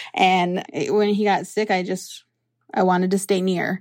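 A woman with an American accent speaks at a moderate pace and a medium pitch in an unremarkable speaking voice. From US Midwest, Lower Sioux community, southwest Minnesota. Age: 20s. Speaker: early childhood program director. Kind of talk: interview.

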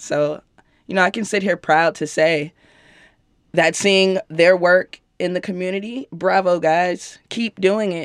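Speaking fairly slowly in an American accent, a woman has a normal speaking voice at a fairly low pitch with ordinary pitch variation, on a very clean recording with a silent background. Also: dry, close sound with no echo. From Chicago. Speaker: rapper. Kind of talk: interview.

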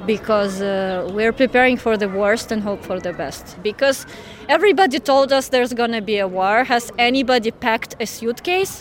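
Noticeable background noise sits under a voice with a Ukrainian accent. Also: woman. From Ukraine (Odesa). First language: Ukrainian or Russian. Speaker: teacher. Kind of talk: interview.

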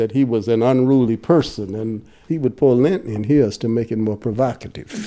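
A man's voice with ordinary pitch variation, against noticeable background noise. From Mississippi. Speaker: retired attorney and former student activist. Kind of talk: interview testimony.

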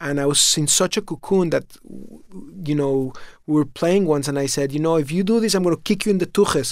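This man's fairly quick speech is captured in a very clean recording, the background silent. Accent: Spanish. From Mexico City, Mexico. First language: Spanish. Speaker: food company founder. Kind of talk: interview.

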